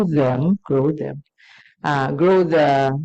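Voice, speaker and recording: This woman has a very deep, low voice with a dark, mellow tone and a Filipino accent. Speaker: scientist in audience. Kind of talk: audience question.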